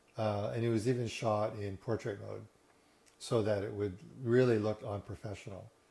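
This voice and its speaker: Somewhat breathy and relaxed, a man speaks at a moderate pace with a fairly low pitch, a dark, mellow tone and fairly even intonation. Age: 60s. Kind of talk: casual talk to camera. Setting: living room. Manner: relaxed, hesitant.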